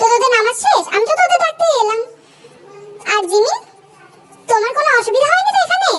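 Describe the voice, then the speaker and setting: A woman's put-on character voice at an extremely high pitch and a moderate pace. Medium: read story. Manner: bossy, scolding.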